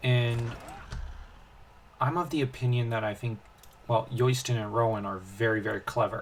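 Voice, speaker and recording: This man talks at a moderate pace and medium pitch, somewhat breathy, with fairly even intonation and long, frequent pauses. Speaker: gaming video host. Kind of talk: casual gameplay commentary. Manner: halting, many fillers and restarts.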